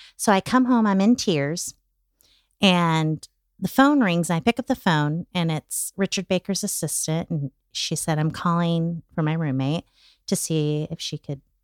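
A woman with a plain, everyday voice speaks at a fairly slow pace, her fairly low pitch carrying lively intonation in a dry, close sound with no echo over a very clean recording and a silent background. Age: 50s. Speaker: comedy talent manager. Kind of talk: casual chat.

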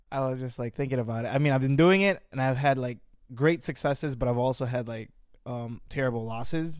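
A man of medium pitch speaks at a fairly quick pace. His pitch varies in an ordinary way. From Philippines, then Vernon Hills, Illinois from age 9. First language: Tagalog. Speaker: guest, friend of host. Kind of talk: casual chat.

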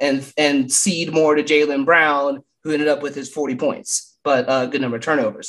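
This man has an ordinary speaking voice, pitched fairly high, and he talks at a fairly quick pace. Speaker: basketball podcaster. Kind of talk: casual chat.

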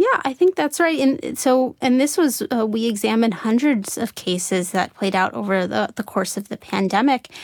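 In a normal speaking voice, a woman talks at a moderate pace and a fairly high pitch with lively intonation, the sound dry and close with no echo. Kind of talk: interview discussion.

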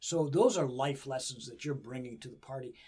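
This man has a plain, everyday voice with a fairly high pitch. He keeps a moderate pace and fairly even intonation. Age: 60s. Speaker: wrestling coach and podcast host. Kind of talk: interview. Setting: studio.

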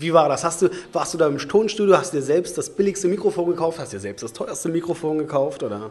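A man's high-pitched voice, very fast and with lively intonation. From Leipzig, eastern Germany. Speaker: podcast host at hair clinic. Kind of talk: casual chat. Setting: studio.

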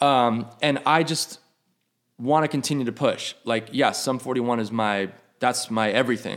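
A normal speaking voice with an American accent moves at a moderate pace with ordinary pitch variation. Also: man. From New York. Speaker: rock drummer. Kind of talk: casual chat. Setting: host's house.

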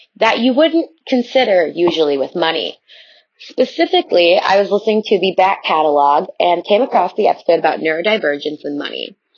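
A woman with an American accent talks at a fairly quick pace with lively intonation. She has a medium pitch and a plain, everyday voice. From Chicago area. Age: 20s. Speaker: listener leaving voicemail. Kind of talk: voicemail testimony. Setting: recorded voice memo.

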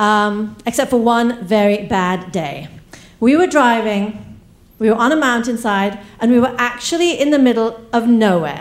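At a fairly slow pace, a woman with an unremarkable speaking voice talks at a fairly high pitch with lively intonation. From East Africa, raised in England then US. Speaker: storyteller. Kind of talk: live storytelling. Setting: stage with audience.

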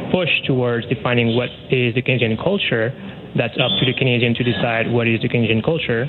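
With noticeable background noise behind him, a man speaks at medium pitch with fairly even intonation. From Quebec. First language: French. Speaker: academic researcher. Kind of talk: radio phone interview. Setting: phone call.

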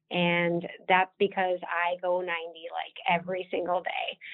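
In an Upper Midwest accent, a woman speaks at a very slow pace. Her voice sits fairly low in pitch. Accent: Upper Midwest American. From South Dakota, Watertown. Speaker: state wildlife agency marketing director. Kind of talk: podcast interview.

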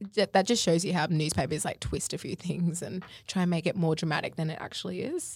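With an Australian accent, a woman of fairly low pitch speaks at a moderate pace with ordinary pitch variation on a very clean recording with a silent background. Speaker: podcast co-host, social media influencer. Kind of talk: casual chat.

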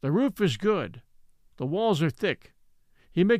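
The intonation is lively as an unforced reading voice moves through the text.

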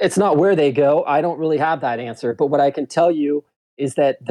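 A man talks at a fairly quick pace in an unremarkable speaking voice. His pitch is fairly high, with ordinary variation. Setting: phone call.

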